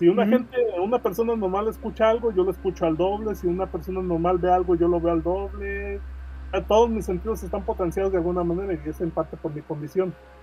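A man's very fast speech amid noticeable background noise. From Mexico, Guadalajara, Jalisco. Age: 40s. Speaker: comic creator and graphic designer. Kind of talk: podcast interview.

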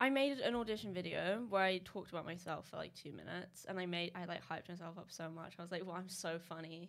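A woman talks at a very fast pace. She leaves hardly any pauses. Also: ordinary pitch variation. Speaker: social media creator. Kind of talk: casual chat.

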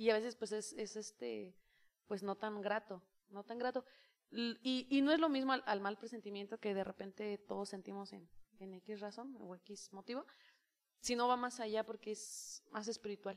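A woman with a fairly high pitch talks at a moderate pace with fairly even intonation and big swings in loudness. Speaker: youth leader and preacher. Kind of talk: casual chat. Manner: intense when preaching.

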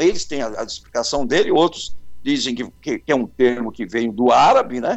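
The man's pitch swings very widely as he speaks. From São Paulo, Brazil. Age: 70s. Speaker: carnival bandleader and journalist. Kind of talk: interview.

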